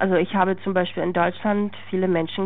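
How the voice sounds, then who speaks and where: Noticeable background noise sits beneath a woman's voice. She moves along at a fairly quick pace, her intonation fairly even. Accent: Czech. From Czech Republic. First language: Czech (speaking German). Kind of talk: interview testimony.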